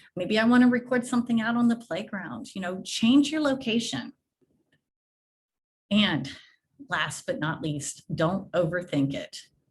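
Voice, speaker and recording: A somewhat breathy woman's voice at a fairly high pitch, with very wide pitch swings, a fairly slow pace, and long, frequent pauses. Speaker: education technology presenter. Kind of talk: webinar presentation. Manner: casual.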